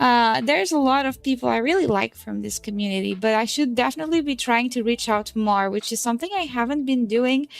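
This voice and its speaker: Loud and at a fairly quick pace, a woman with a Portuguese accent speaks in a high pitch with ordinary pitch variation. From Portugal. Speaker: VTuber streamer. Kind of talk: casual livestream chat.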